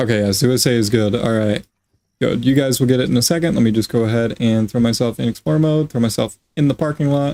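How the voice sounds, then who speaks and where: A man's medium-pitched voice with a dark, mellow tone, ordinary pitch variation and a very fast pace. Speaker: gaming streamer. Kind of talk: live stream gameplay commentary. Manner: animated.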